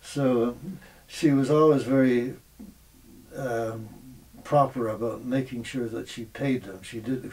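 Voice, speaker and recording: Noticeable background noise sits under the recording. A man talks fairly slowly at a medium pitch. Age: 80s. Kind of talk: interview answer.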